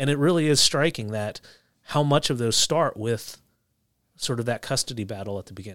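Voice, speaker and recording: On a very clean recording with a silent background, a man with an American accent talks at a fairly quick pace and medium pitch, with ordinary pitch variation and big swings in loudness. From New Jersey, Philadelphia suburbs. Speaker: judge. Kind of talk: interview. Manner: halting.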